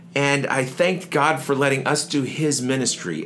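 Noticeable background noise accompanies a man speaking. His pitch is fairly high and his pace fairly slow. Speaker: podcast co-host. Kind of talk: casual chat. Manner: put-on radio voice in the show opening.

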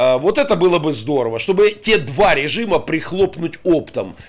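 The tone is animated. The intonation is lively. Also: man. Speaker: pastor and army chaplain. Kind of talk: radio talk show interview. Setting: radio studio. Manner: animated, forceful.

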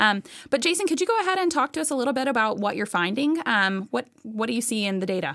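A woman's fairly high voice, very fast, with very wide pitch swings. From Tennessee (Memphis area). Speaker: state education research director, podcast co-host. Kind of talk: podcast interview.

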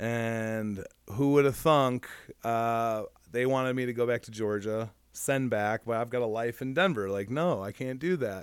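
This is a plain, everyday voice: a man with an American accent, medium pitch and ordinary pitch variation. He talks at a fairly slow pace in a very clean recording with a silent background. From Michigan. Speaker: recovering addict. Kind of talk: casual interview.

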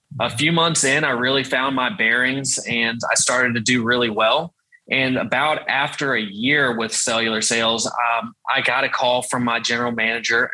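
A man's medium-pitched voice with a Southern US accent, moderate pace, hardly any pauses, fairly even intonation, and very even loudness. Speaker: sales team leader. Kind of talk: interview.

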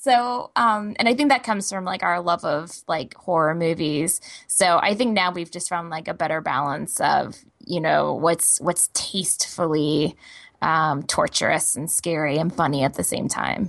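A woman with an American accent talks at a moderate pace and a fairly low pitch with lively intonation. She has a plain, everyday voice, and the background is quiet. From Texas. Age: 30s. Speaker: comic artist. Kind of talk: interview.

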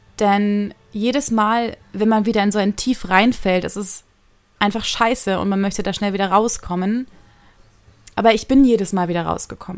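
A woman's medium-pitched voice carries fairly even intonation. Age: 20s. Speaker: podcaster. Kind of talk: personal monologue. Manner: fast.

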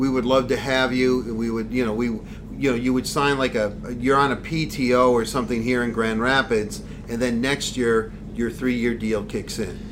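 A man talks at a moderate pace in a medium pitch, his intonation monotone and flat. Noticeable background noise runs under his voice. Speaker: podcast host. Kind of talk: casual interview.

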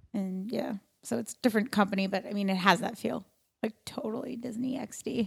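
A woman with an American accent speaks at a fairly quick pace. Her fairly high, somewhat breathy voice shows ordinary pitch variation. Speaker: actress and comedian. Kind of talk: casual chat. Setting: studio.

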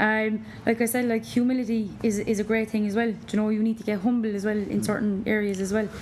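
Talking at a very fast pace with hardly any pauses, a woman with an Irish accent keeps a fairly high pitch and flat, monotone intonation over noticeable background noise. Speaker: personal trainer. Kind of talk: casual chat interview.

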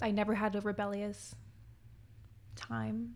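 A woman speaks at a moderate pace with a Western Canadian accent. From Quesnel, British Columbia, Canada. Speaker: musical theatre actress. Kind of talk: casual interview. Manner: animated.

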